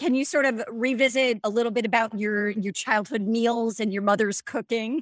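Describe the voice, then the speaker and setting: This is a plain, everyday voice at a moderate pace. The intonation stays fairly even. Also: woman, fairly high pitch for a woman. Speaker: podcast host. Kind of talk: interview.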